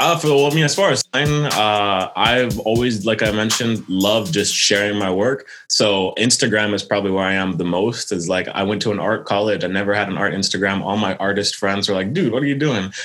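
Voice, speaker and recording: With music in the background, a man in an American accent speaks at a fairly quick pace and fairly low pitch, with ordinary pitch variation, very even loudness, and hardly any pauses. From Quebec, Canada, raised mainly in the US. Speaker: illustrator. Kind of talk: interview.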